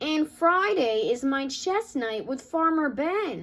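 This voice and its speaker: A woman bellows in a put-on character voice that is gruff yet high-pitched. She delivers it at a fairly slow pace. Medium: read story. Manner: gruff, roaring.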